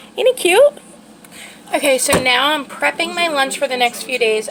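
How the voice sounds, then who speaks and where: Background noise is noticeable here. Over it, a woman talks. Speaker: lifestyle vlogger. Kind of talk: casual vlog talk. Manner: filler-heavy, hesitant.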